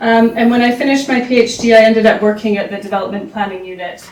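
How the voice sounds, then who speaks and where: A woman speaks at a fairly high pitch with fairly even intonation. Noticeable background noise can be heard. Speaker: academic, urban planning researcher. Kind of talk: conference presentation. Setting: symposium with audience. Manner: halting, many fillers.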